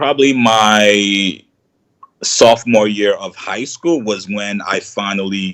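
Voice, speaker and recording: A man talks at a fairly low pitch with ordinary pitch variation and a slight Nigerian accent. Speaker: YouTuber, content creator. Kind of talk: casual interview. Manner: relaxed, conversational with fillers.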